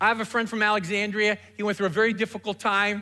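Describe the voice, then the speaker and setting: On a very clean recording with a silent background, a man projects a raised voice that is high-pitched, bright and sharp. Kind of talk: sermon. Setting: church stage with congregation.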